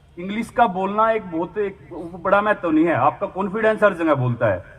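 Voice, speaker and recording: With a Haryana accent, a man speaks in a high pitch amid noticeable background noise. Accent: Haryanvi. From Haryana, India. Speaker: javelin athlete. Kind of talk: public speech.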